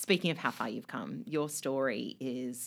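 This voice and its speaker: Lively intonation at a moderate pace, with an Australian accent. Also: woman. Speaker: podcast host. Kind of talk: casual interview.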